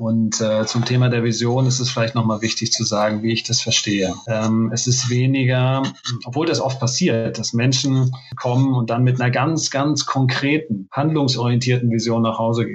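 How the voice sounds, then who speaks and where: A man speaks at a moderate pace in a medium-pitched voice with fairly even intonation. His loudness stays very even, with hardly any pauses. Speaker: business coach. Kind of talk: interview. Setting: remote call from hotel. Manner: hesitant, many fillers. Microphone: poor connection.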